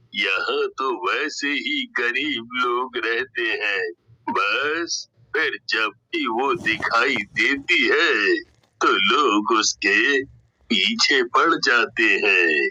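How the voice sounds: Using a cartoonish character voice, a man speaks at a very slow pace.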